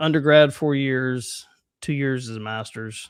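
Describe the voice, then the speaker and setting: Using ordinary pitch variation, a man talks with a Southern US accent. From US South. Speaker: podcast host, former band teacher. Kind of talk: casual chat.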